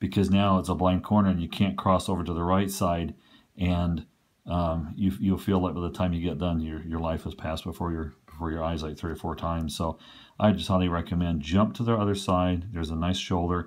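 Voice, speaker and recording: A man with a very deep, low pitch speaks at a fairly quick pace in a monotone, flat intonation. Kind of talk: tutorial. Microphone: phone near.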